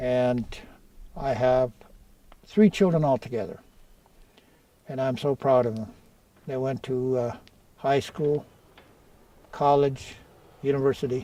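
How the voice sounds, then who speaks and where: A man talks at a fairly slow pace and medium pitch. Long, frequent pauses break up his speech. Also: ordinary pitch variation. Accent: northern Ontario. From northwestern Ontario First Nation, Deer Lake. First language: Oji-Cree. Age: 60s. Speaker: community elder. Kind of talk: personal storytelling interview. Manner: halting.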